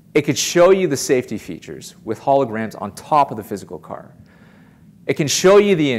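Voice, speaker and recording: At a fairly quick pace, the voice shows vocal fry, very wide pitch swings, and big swings in loudness. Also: man, fairly high pitch for a man. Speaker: keynote speaker on automotive. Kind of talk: keynote conference talk to an audience.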